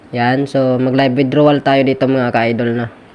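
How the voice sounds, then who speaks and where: A man speaks at medium pitch and a moderate pace. His intonation is monotone and flat, with noticeable background noise. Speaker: vlogger. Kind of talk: tutorial. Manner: casual, filler-heavy.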